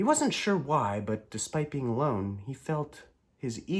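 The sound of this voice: It is an unforced reading voice.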